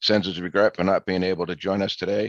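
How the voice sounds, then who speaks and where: The speaker has a Boston accent, recorded against a quiet background with a dry, close sound and no echo. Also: man. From Massachusetts, north of Boston. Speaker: appraisal board vice chair. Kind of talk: webinar panel introduction.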